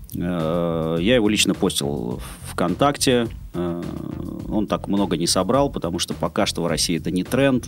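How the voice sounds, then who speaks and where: Noticeable background noise sits behind a man with a very deep, low pitch. He speaks at a very slow pace, his intonation lively. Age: 30s. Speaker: longboard shop owner and skate school co-founder. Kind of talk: casual interview.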